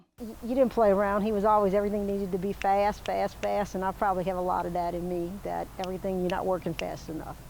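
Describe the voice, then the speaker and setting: A woman in a south Louisiana accent speaks at a very fast pace with monotone, flat intonation and hardly any pauses. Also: medium pitch for a woman. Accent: south Louisiana Southern US. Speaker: farmer. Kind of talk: interview.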